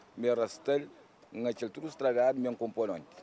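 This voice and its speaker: A man's voice, dark and mellow in tone. The sound is dry, without any echo. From Cape Verde. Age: 60s. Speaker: fisherman; interviewee. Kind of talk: interview. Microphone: handheld.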